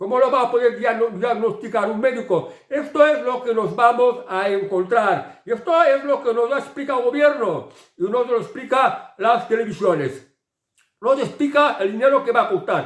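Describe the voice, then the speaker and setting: A man speaks at a moderate pace in an extremely high pitch with ordinary pitch variation. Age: 60s. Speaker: political commentator. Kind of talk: opinion monologue. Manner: halting, frequent repetitions.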